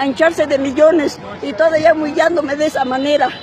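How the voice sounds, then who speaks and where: Over crowd noise in the background, a woman talks at a fairly quick pace in a high pitch with fairly even intonation. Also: dry sound with no echo. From Mexico, provincial. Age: 80s+. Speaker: elderly citizen venting at government. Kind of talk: street interview answer. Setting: outdoors. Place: street. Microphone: phone near.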